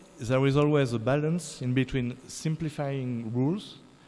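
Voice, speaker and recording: A man speaks with a French accent in a dark, mellow tone. His pace is fairly slow and his pitch variation ordinary. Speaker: musicologist. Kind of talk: lecture. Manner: halting.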